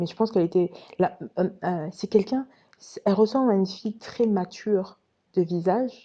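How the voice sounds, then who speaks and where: A woman speaks in a calm tone at medium pitch. Her voice is dark and mellow. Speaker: former Jehovah's Witness storyteller. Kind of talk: personal storytelling monologue. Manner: hesitant with many fillers.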